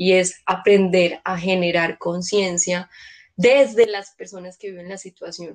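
With fairly even intonation, a woman talks at a medium pitch in an ordinary speaking voice. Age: 30s. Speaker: social worker and educator. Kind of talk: casual chat.

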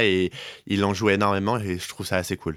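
A man speaks at a fairly quick pace with a fairly low pitch. He has an ordinary speaking voice. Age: 20s. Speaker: podcast co-host. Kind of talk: casual chat. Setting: Skype call.

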